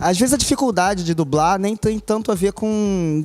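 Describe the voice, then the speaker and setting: The voice belongs to a man. Its pitch moves up and down in an ordinary way. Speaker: voice actor. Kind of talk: interview answer.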